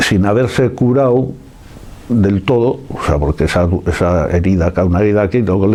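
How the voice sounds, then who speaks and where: Over noticeable background noise, a man speaks at a moderate pace. His pitch is fairly low, with ordinary variation. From San Sebastián, Basque Country, Spain. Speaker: oral history witness. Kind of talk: interview answer.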